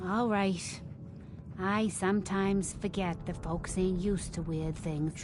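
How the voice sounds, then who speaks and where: Over loud background noise, a woman at medium pitch puts on a character voice and speaks at a fairly slow pace. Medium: video game. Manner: folksy, slow, knowing.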